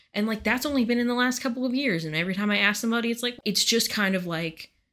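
A woman's bright, sharp voice with lively intonation at a very fast pace, on a very clean recording with a silent background. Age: 20s. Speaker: podcast co-host. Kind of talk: casual chat.

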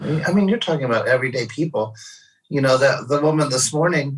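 A man with an American accent has a somewhat breathy voice. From St. Louis, Missouri. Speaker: touring musician's partner. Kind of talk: casual chat. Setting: video call.

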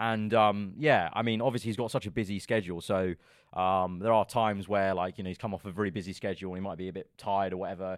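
Over a silent background on a very clean recording, a man with a London accent talks at a very fast pace, his fairly low voice held to fairly even intonation. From London, England. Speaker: F1 content creator. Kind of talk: casual podcast interview. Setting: studio.

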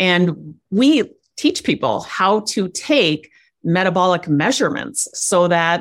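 A woman with an American accent speaks at a fairly low pitch on a very clean recording with a silent background. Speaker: life coach. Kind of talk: casual interview chat.

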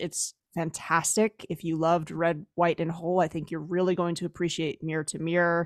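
Recorded dry and close with no echo and a silent, very clean background, a woman with a fairly low pitch talks in a normal speaking voice. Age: 40s. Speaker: podcast host, education consultant. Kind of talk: interview.

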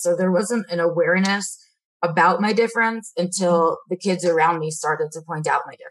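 A woman with medium pitch talks at a fairly quick pace in an ordinary speaking voice, her intonation fairly even. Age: 30s. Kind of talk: interview.

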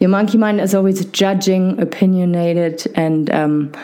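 A fairly slow speaker is heard over noticeable background noise. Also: woman. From Germany. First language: German. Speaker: podcast host and physiotherapist. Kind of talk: casual interview conversation. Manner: hesitant, many fillers.

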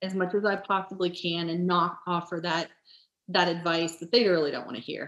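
In a normal speaking voice, a woman with fairly low pitch talks at a fairly quick pace with fairly even intonation. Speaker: nurse. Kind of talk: casual chat.

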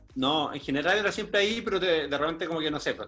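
The speaker goes at a very fast pace with ordinary pitch variation, and noticeable background noise is present. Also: man. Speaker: guest sharing life story. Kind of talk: interview.

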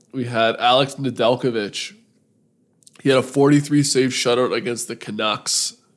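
Speaking with fairly even intonation, the man has a plain, everyday voice pitched in the medium range. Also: moderate pace. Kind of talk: casual banter between two hosts, fantasy hockey talk. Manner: relaxed, laughing, joking.

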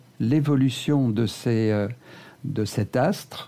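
Very slowly, a man speaks at a medium pitch with a dark, mellow tone. His pitch varies in an ordinary way. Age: 70s. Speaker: retired flight engineer. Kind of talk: interview.

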